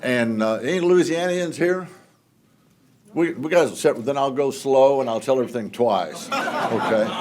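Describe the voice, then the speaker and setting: A man's lively-intoned voice with a Texan accent, in audible room echo. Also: fairly high pitch for a man, moderate pace. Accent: Texan Southern US. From Southeast Texas (Houston area). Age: 70s. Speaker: congressman. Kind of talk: speech. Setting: stage with audience. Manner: folksy, joking.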